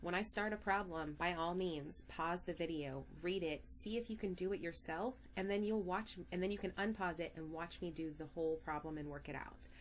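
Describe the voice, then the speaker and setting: A woman's fairly low-pitched voice with vocal fry, an animated tone, ordinary pitch variation, a moderate pace and hardly any pauses. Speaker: math teacher. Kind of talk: lecture.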